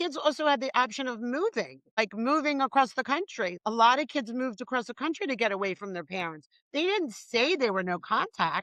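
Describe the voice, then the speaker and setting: With a bright, sharp tone and high pitch, a woman speaks at a fairly quick pace with hardly any pauses and very wide pitch swings. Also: dry, close sound with no echo. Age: 60s. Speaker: podcast host. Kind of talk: podcast interview.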